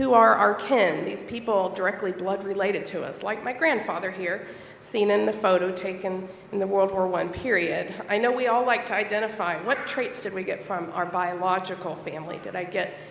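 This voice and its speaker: The speaker has an American accent and ordinary pitch variation at a moderate pace. Room echo is audible, and background noise is noticeable. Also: woman, medium pitch for a woman. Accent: Southern twang, stronger after a trip home. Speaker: church elder and library school teacher. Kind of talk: sermon. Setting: church.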